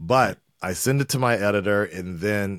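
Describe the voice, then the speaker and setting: Speaking at a fairly slow pace with a fairly low pitch, a man with a Southern Californian accent is heard in a dry, close sound with no echo on a very clean recording with a silent background. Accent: Southern California American. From Los Angeles, North Hollywood. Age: 40s. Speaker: YouTube reaction creator. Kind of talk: casual chat.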